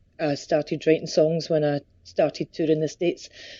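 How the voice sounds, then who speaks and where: A woman speaks with a Scottish accent. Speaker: country singer. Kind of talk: interview.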